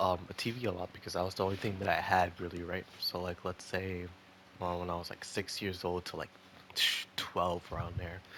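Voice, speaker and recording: A man with a very deep, low voice talks at a moderate pace in a monotone, flat intonation. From Dominican Republic, moved to US as child. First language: Spanish. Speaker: YouTuber. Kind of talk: casual chat. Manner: halting, repeats words.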